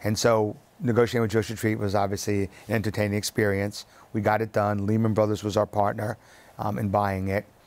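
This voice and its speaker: With an American accent, a man speaks at a fairly quick pace in a fairly low, monotone, flat voice. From US Northeast (Long Island, New York); New York. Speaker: real estate executive; guest. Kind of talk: interview. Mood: relaxed, storytelling. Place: studio. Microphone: lapel.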